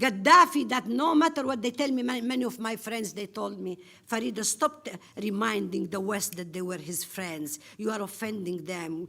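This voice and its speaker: A woman's medium-pitched voice at a moderate pace, with very wide pitch swings. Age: 60s. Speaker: conference panelist, activist. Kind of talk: conference speech. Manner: passionate, halting with repetitions.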